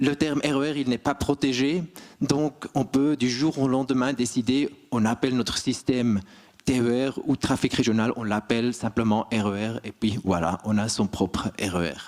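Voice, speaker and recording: This man's voice sits at a medium pitch and varies in an ordinary way. He keeps a moderate pace. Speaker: railway manager. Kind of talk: conference talk.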